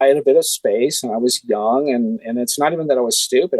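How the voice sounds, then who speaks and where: In a dry, close sound with no echo, a man talks at a very fast pace. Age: 60s. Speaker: special effects artist. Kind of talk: interview. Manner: halting, many fillers.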